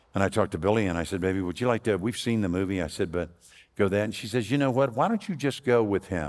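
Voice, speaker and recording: A man's fairly low voice at a very fast pace. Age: 70s. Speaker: pastor. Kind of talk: sermon. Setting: church service.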